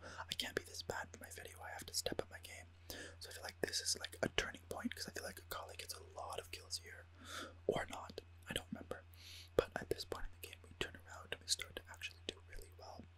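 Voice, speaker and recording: The speech is whispered. It comes at a very fast pace. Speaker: gamer ASMR creator. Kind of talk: casual gaming voiceover commentary, whispered ASMR style. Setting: recorded with a studio USB microphone. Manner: whispered, soft-spoken.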